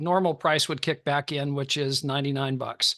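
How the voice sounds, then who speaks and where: A man speaks at a moderate pace in a fairly high voice, with a bright, sharp tone. His pitch varies in an ordinary way, and the background is quiet. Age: 60s. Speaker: network marketer and trader. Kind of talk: sales pitch.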